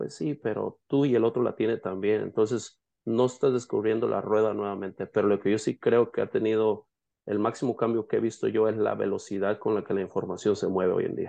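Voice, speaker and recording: With a Mexican accent, the speaker talks at a fairly quick pace in a dark, mellow tone with fairly even intonation. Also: man, fairly low pitch for a man. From Mexico, Jalisco. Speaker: painting business owner and coach. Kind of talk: casual interview.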